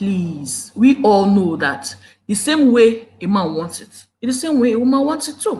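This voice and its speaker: A woman with a Nigerian accent speaks in an animated tone at a moderate pace and fairly high pitch, somewhat breathy, with very wide pitch swings, big swings in loudness and audible room echo. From Nigeria, Igbo. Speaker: YouTube relationship commentator. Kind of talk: live stream talk. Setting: live video at home. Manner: animated, emotional. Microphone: problem mic.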